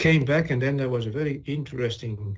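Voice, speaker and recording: In a Dutch accent, a man speaks at a fairly quick pace. His voice is somewhat breathy, with ordinary pitch variation. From Netherlands. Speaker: chemical industry executive. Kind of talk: corporate webinar presentation.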